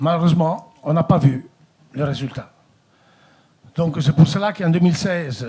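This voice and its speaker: A man's somewhat breathy voice in an Italian accent with ordinary pitch variation. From Italy. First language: Italian (speaking French). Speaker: company director. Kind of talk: formal speech at a meeting. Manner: hesitant, many fillers.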